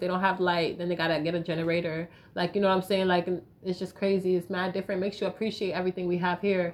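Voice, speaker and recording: The tone is animated. The accent is American. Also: woman. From US South, Raleigh, North Carolina. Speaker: musician. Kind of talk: casual chat.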